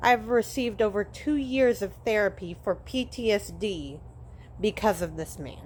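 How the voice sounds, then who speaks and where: Her voice at a medium pitch, a woman speaks with lively intonation and vocal fry. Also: moderate pace. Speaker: parental alienation advocate. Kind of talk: personal testimony vlog.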